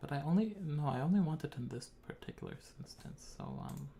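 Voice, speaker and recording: Soft-spoken and fairly high-pitched, a man talks at a moderate pace with ordinary pitch variation over light background noise. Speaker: composer streaming a live composition show. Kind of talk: live stream tutorial. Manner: halting, many fillers. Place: home room.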